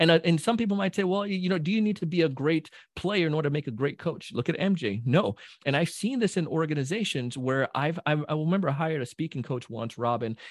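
Here a man talks at a very fast pace. His pitch is fairly high and his intonation lively. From Jamaica. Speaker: sales trainer. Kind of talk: casual chat. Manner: animated.

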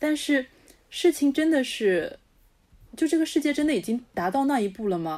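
On a very clean recording with a silent background, a woman's dark, mellow voice moves through very wide pitch swings. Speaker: podcast co-host. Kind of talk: casual chat.

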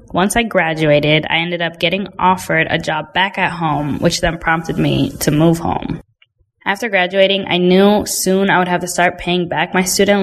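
An unremarkable speaking voice belongs to a woman with an American accent and fairly low pitch. She talks at a moderate pace with fairly even intonation. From Indiana. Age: 20s. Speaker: recent graduate. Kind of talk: personal testimony.

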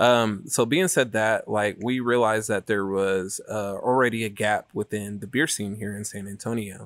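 A man talks with hardly any pauses. He has a plain, everyday voice. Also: fairly low pitch for a man, fairly even intonation, moderate pace. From Northern California. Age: 30s. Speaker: brewery co-founder and head brewer. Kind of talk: casual interview.

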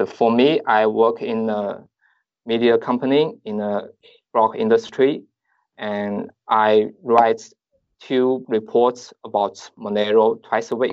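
A man with a Chinese accent talks at a medium pitch in a monotone, flat intonation, very slowly and with long, frequent pauses. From southeastern China. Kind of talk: interview.

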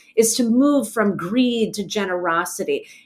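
A woman with a slight New Jersey accent and a fairly high pitch speaks at a fairly slow pace, her intonation lively. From US, New Jersey. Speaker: poet and translator. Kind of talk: interview conversation.

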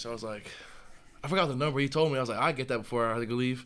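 A man with an American accent talks at a very fast pace in fairly even intonation, with audible room echo. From North Carolina, Charlotte. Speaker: college football player. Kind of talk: casual interview.

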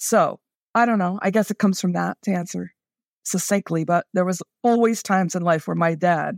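A woman with an American accent, a normal speaking voice and fairly low pitch, at a moderate pace with ordinary pitch variation, on a very clean recording with a silent background and a dry, close sound with no echo. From New York City. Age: 50s. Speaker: diversity and inclusion consultant. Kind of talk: casual chat.

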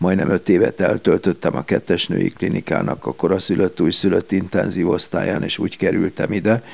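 A man talks at a fairly quick pace with hardly any pauses. His voice is very deep and low, with vocal fry and ordinary pitch variation. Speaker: paediatrician. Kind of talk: interview. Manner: hesitant, with fillers.

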